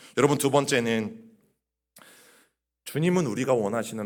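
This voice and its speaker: Lively intonation at a moderate pace, with audible room echo. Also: man. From Chungcheong region, Korea. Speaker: pastor. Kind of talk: sermon. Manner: conversational, addresses congregation directly.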